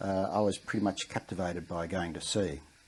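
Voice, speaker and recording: A man speaks in an Australian accent. He has a dark, mellow tone. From Western Australia. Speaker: war veteran. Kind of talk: interview. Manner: halting.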